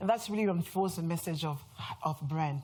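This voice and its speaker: At a very fast pace, a woman with a French accent speaks in an animated, somewhat breathy tone, her fairly low pitch showing ordinary variation. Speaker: brand strategist. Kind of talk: conference talk.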